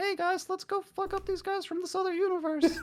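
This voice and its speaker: Someone doing a put-on character voice talks at an extremely high pitch and a fairly quick pace, with monotone, flat intonation. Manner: brash, excitable.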